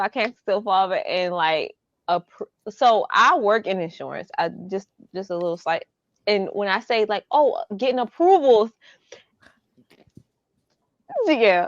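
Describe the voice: In a Baltimore accent, a woman speaks at a fairly slow pace with lively intonation and long, frequent pauses, her sound dry and close with no echo. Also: fairly high pitch for a woman.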